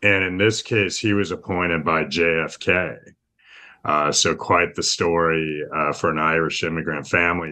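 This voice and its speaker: A man's very deep, low voice, bright and sharp in tone, at a fairly slow pace with an American accent and a quiet background. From California, East Bay. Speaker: state legislator. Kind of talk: interview answers.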